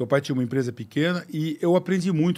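Here a man speaks with a French accent. His pitch is fairly high, with ordinary variation. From Brazil. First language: French (speaking Portuguese). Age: 60s. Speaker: car company executive; podcast guest. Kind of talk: interview. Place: studio. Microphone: studio mic.

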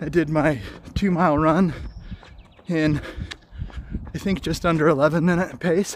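Speaking at a fairly slow pace with fairly even intonation, a man is heard in a dry sound with no echo, over light background noise. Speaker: fitness vlogger. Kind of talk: casual vlog chat. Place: street. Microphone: phone near.

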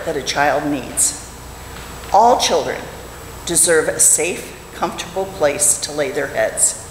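Audible room echo and light background noise surround a woman's speech. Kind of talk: prepared talk in a service. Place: church. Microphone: podium.

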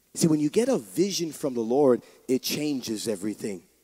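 Over a quiet background, a man with a dark, mellow tone speaks at a moderate pace with very wide pitch swings. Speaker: pastor. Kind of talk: sermon. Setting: church with congregation. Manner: animated. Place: church. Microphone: handheld.

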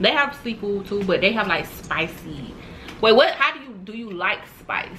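Over light background noise, a woman talks at a moderate pace with a medium pitch, her intonation lively and her tone animated. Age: 20s. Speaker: mukbang youtuber. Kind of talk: casual chat while eating. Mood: playful, animated. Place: home room.

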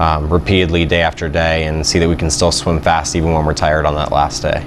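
A man speaks very fast in a very deep, low voice, with flat, monotone intonation. His loudness stays very even, and there is noticeable background noise. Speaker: swim coach. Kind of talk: interview answer.

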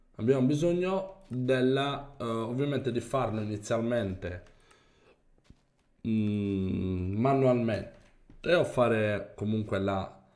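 A man speaks very slowly at a medium pitch, leaving long, frequent pauses. His intonation is lively, and room echo is audible. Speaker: gaming youtuber. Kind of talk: gameplay commentary. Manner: animated.

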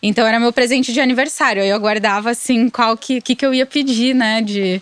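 Against a quiet background with a dry sound and no echo, a woman talks at a moderate pace with ordinary pitch variation. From Santa Catarina, Brazil (Blumenau region); Santa Catarina, Brazil. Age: 30s. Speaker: music marketing agency co-founder; interview guest. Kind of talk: interview. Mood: reflective, calm. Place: studio. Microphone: studio mic.

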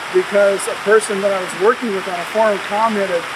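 Loud background noise fills the clip. A man speaks through it at a moderate pace. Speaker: interview guest. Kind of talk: interview answer. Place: waterside.

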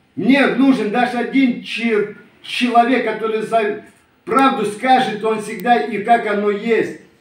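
Speech comes at a very slow pace with fairly even intonation. Room echo is audible. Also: man, extremely high pitch for a man. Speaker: Romani community video blogger. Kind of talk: video address to a rival. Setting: self-recorded video. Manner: heated, confrontational. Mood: aggrieved, indignant. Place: home room. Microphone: phone near.

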